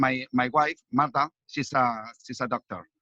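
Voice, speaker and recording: A man's fairly high, bright and sharp voice with a Spanish accent, fairly slow and fairly even in intonation, in a dry, close sound with no echo. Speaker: police officer. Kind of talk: casual chat. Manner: halting.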